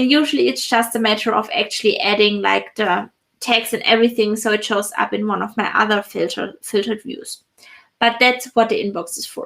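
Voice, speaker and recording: A woman speaks at a moderate pace with a fairly high pitch. Her pitch varies in an ordinary way, in an unremarkable speaking voice. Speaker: productivity software consultant. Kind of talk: live stream tutorial.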